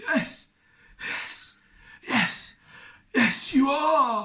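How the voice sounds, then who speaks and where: A put-on character voice comes through high-pitched and croaky. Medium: read story.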